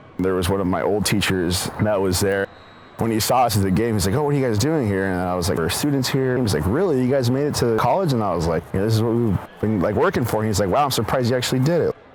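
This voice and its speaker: Very fast speech from a man, fairly low in pitch, with lively intonation and very even loudness, over noticeable background noise. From eastern Oregon, US. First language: Spanish. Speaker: medical researcher. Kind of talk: personal interview narrative.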